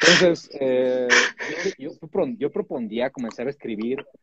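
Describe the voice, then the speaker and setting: Here a man talks in a normal speaking voice with lively intonation. His pace is fairly slow. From Mexico. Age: 30s. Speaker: poet. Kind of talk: casual chat. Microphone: connection drops.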